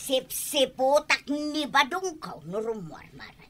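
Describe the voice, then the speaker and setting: Music plays behind a woman doing a put-on character voice with a high pitch. She goes at a very slow pace with lively intonation. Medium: old radio play. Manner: scolding, loud.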